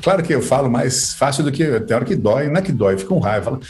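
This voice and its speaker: The room echo is audible here. A man speaks at a very fast pace. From Brazil, Sorocaba, São Paulo state. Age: 50s. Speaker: author. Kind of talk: casual chat.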